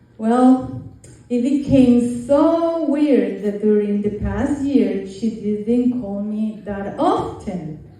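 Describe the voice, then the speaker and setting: Against noticeable background noise, a woman speaks at a very slow pace with lively intonation and a fairly high pitch. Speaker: mother of the bride. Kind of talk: wedding speech.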